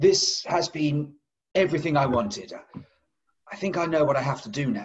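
Over light background noise, a somewhat breathy man speaks at a moderate pace with ordinary pitch variation. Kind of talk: scripted comedy sketch dialogue. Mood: grateful, wrapping up. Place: home room. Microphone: video call.

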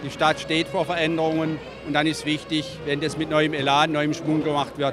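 A fairly high-pitched man at a moderate pace, dry sound with no echo, and noticeable background noise. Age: 60s. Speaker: retiring mayor. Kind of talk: interview soundbite. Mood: reflective, slightly wistful farewell. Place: hall. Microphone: handheld.

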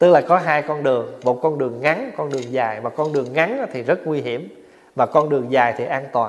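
This is an ordinary speaking voice with ordinary pitch variation. It moves at a fairly quick pace. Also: man, fairly high pitch for a man. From Vietnam. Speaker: Buddhist monk; monk teacher. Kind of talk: dharma talk. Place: hall.

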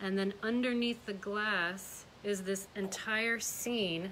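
Intonation stays fairly even as the words come at a very slow pace. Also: woman. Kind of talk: auction preview presentation.

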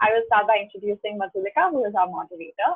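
Here a woman talks at a fairly quick pace and a medium pitch. She has a normal speaking voice. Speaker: event organizer. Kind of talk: event hosting. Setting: video call.

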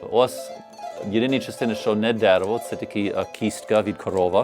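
A man speaks at a moderate pace and medium pitch with lively intonation, with music in the background. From United States. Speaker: bandura player and instrument maker. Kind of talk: explaining his craft on camera.

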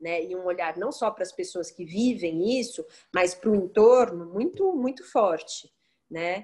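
Fairly slow speech against a quiet background. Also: woman. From Brazil, Santos (São Paulo state); São Paulo state, Brazil. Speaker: occupational therapist; interviewee. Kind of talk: interview. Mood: calm, thoughtful. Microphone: video call.

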